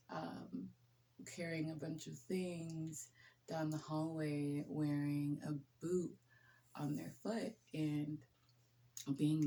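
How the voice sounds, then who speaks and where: A soft-spoken woman with a very deep, low pitch and a dark, mellow tone, ordinary pitch variation, a very slow pace, and long, frequent pauses. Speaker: nurse. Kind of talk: casual chat. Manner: relaxed.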